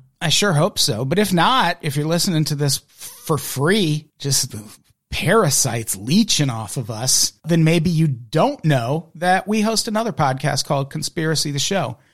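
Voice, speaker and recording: A man in a normal speaking voice, fairly high in pitch, with lively intonation at a moderate pace. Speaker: podcast host. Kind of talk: casual chat.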